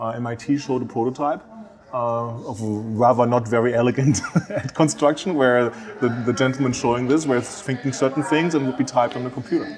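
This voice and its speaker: Against noticeable background noise, a man with a European accent speaks very fast at a medium pitch with fairly even intonation. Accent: soft European. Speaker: industry analyst. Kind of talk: radio interview. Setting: conference venue. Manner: mumbling.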